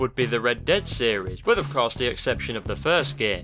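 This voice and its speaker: Medium-pitched male speech at a fairly quick pace over music in the background. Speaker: gaming video essayist. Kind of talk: game retrospective commentary.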